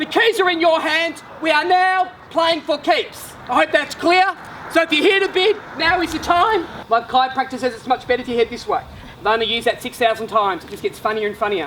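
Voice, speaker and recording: At a fairly quick pace, a man speaks in a raised, projected voice at an extremely high pitch. His pitch swings very widely over noticeable background noise. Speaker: real estate auctioneer. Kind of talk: auction calling.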